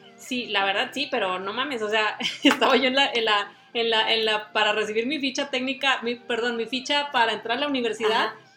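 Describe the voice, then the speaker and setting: Amid noticeable background noise, a woman talks at a fairly quick pace with a fairly high pitch and fairly even intonation. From Mexico, Tampico, Tamaulipas. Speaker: podcast co-host. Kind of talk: casual chat.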